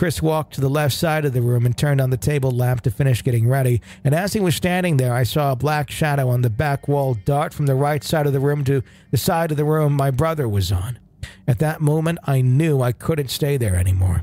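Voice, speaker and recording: A man with a fairly high pitch and a dark, mellow tone talks at a fairly quick pace in a somewhat breathy voice. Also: ordinary pitch variation, very even loudness. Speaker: podcast host. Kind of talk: ghost story telling, reading a listener's first-person account aloud.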